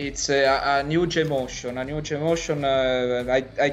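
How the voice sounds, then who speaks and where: A man with an Italian accent talks very slowly in a flat monotone, his pitch fairly high. Music plays in the background. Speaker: esports player. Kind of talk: interview. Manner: halting.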